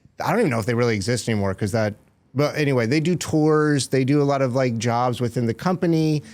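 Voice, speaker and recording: A man with an American accent at a very fast pace, his loudness very even and his pitch variation ordinary. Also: medium pitch for a man. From US South, Florida. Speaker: stand-up comedian. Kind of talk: casual chat.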